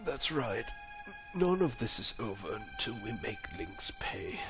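Over loud music in the background, a man puts on a character voice and speaks at a fairly slow pace. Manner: vengeful, intense.

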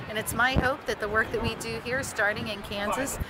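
There is noticeable background noise behind this woman. Her voice sounds dry, with no echo. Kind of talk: interview answer. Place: street. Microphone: phone near.

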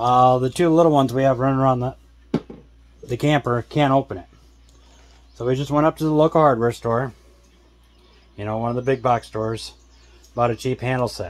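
Fairly quick and fairly even in intonation, a man's voice moves along. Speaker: vlogger. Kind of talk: casual vlog chat. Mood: amused, mildly exasperated. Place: home room. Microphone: phone near.

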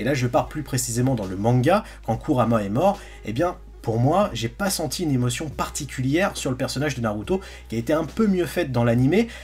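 Faint background music under a man's moderately paced speech. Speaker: anime content creator. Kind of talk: commentary. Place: home room.

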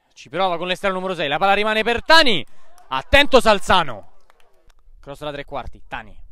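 In an excited tone, a man raises and projects his high-pitched voice, which has a bright, sharp tone. His pitch swings very widely, broken by long, frequent pauses. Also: big swings in loudness. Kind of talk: live sports commentary. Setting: amateur football match, commentary over the play. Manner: fast, breathless play-by-play delivery, rattling off names and passes; excited, rising emphasis on goals and near-misses.

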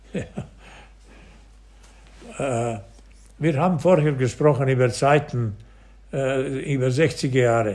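Pausing long and often, a man with a medium-pitched voice speaks at a very slow pace. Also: ordinary pitch variation. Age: 80s+. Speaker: former football goalkeeper. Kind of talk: interview answer.

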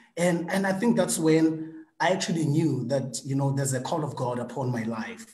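In a quiet background with audible room echo, a man talks at a moderate pace. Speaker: guest. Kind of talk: interview answer. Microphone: video call.

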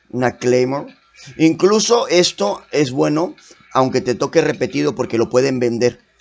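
There is music behind the voice. The speaker, a man, has lively intonation. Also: medium pitch for a man, fairly slow pace. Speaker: gaming youtuber. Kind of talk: gameplay commentary. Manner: casual.

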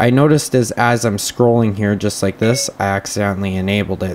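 A man speaks in a plain, everyday voice at a fairly low pitch with ordinary pitch variation. His pace is fairly quick, with light background noise. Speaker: tech reviewer. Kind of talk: tutorial. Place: home room. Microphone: camera far.

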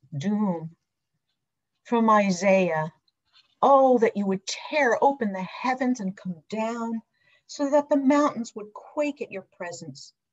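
Against a quiet background, a woman speaks with a fairly high, somewhat breathy voice. Her intonation is lively. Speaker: deacon giving a sermon. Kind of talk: church sermon delivered to a congregation. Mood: earnest, solemn. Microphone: webcam.

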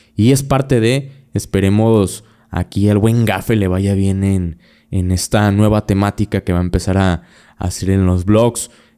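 With a Mexican accent, a man speaks in a dark, mellow tone at a fairly low pitch and fairly slow pace, his intonation fairly even over a quiet background. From Mexico. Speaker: podcast host. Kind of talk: casual chat. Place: studio. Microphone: studio mic.

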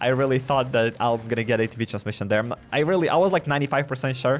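Light background noise under a man's very fast speech. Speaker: gaming streamer. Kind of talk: gameplay commentary. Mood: disappointed, ranting. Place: home room. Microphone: studio mic.

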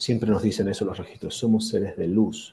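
A man's moderate-paced talking sits over light background noise. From Argentina, Mar del Plata; Argentina. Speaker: physician and akashic records reader; akashic records reader. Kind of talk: interview. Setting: video call. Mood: enthusiastic, fascinated. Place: home room.

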